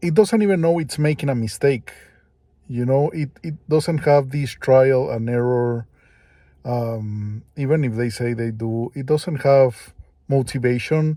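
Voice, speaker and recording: Recorded very cleanly with a silent background, a man speaks at a fairly slow pace in a medium pitch, with a dark, mellow tone and ordinary pitch variation. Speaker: vlogger. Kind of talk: casual monologue. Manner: hesitant.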